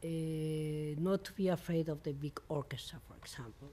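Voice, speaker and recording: In a Mexican accent, the voice has a dark, mellow tone, fairly even intonation and a moderate pace. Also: woman. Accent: Mexican Spanish accent, non-native English. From Mexico. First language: Spanish. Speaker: composer. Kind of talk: interview. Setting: filmed at a music venue. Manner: halting, with frequent hesitations.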